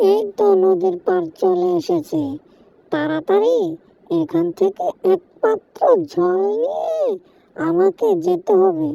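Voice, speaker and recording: A woman uses a cartoonish character voice at a medium pitch and a fairly slow pace. Her loudness stays very even. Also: dry, close sound with no echo. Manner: bright, upbeat.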